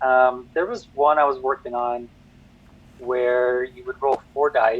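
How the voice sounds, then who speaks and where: Medium-pitched male voice with fairly even intonation and music in the background. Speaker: board game designer. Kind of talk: interview. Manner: fast; hesitant, many fillers.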